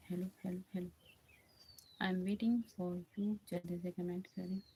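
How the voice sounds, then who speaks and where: In a monotone, flat intonation, a woman speaks with a dark, mellow tone that is somewhat breathy. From Uttar Pradesh, India (Ayodhya). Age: 20s. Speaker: bhajan singer and live streamer. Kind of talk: casual live stream chat with viewers. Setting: live stream. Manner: repetitive, pleading.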